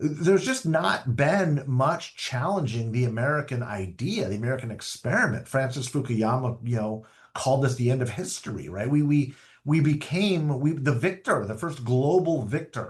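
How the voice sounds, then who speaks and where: Somewhat breathy speech at a moderate pace with lively intonation. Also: man, medium pitch for a man. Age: 50s. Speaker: political strategist. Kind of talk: interview. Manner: repeats words when starting phrases.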